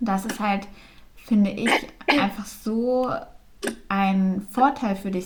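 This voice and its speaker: Medium pitch and a somewhat breathy quality in a woman's voice. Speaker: podcast co-host. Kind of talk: casual chat. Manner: frequent filler sounds.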